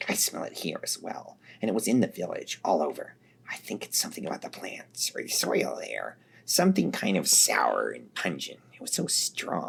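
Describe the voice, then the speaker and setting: Whispering at a moderate pace, the speaker uses a put-on character voice. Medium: read story. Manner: blunt, profane.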